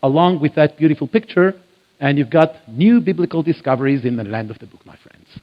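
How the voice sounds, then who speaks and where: A man with an Israeli accent talks at a fairly quick pace. His pitch is fairly high and his intonation lively. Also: big swings in loudness. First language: Hebrew. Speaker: biblical archaeology lecturer. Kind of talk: church lecture. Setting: church with audience.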